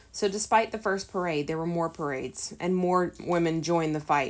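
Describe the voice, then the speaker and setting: The intonation is lively as this woman talks. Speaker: homeschool teacher reading a lesson. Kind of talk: reading a history textbook aloud with explanations.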